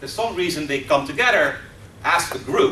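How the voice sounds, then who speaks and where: A man with a Dutch accent at a fairly quick pace, over noticeable background noise and audible room echo. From Netherlands. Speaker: professor. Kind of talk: lecture. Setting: stage with audience.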